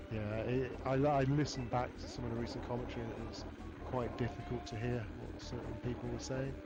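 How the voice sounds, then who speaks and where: A man talks through audible room echo, with noticeable background noise behind him. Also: fairly quick pace. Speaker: esports commentator. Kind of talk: live commentary. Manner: loud.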